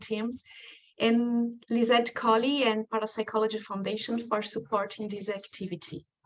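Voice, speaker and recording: Speaking with a strong Brazilian accent, a woman keeps a moderate pace. Her pitch is fairly high. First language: Portuguese. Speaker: researcher. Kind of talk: lecture.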